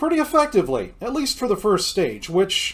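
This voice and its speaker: A man talks loudly with lively intonation. The recording is very clean, with a silent background. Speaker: video game streamer. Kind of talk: gameplay commentary. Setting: home recording with headphones.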